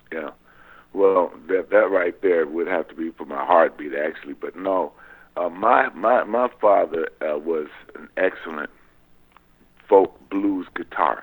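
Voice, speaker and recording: Speaking at a fairly slow pace with an American accent, a man leaves long, frequent pauses and makes big swings in loudness. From Southern California (San Pedro). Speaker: guitarist. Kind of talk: interview.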